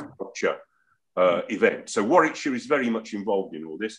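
This man speaks with an English accent. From England. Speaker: interviewer. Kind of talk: interview. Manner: halting. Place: home room. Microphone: video call.

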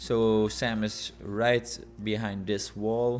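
A man speaks with a fairly low pitch. His intonation stays flat and monotone. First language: non-native English speaker. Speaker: gaming YouTuber. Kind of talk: gameplay commentary. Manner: casual.

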